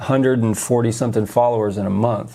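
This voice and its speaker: Speaking at a fairly quick pace, a man uses a medium pitch and fairly even intonation, his tone dark and mellow. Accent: American. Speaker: podcast host and social media creator. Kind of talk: live stream chat. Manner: casual, halting with many fillers.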